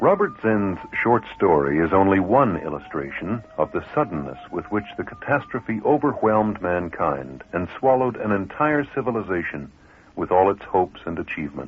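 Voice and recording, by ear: A man with a low pitch and a slightly husky edge speaks with few pauses. His pitch swings widely. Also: moderate pace.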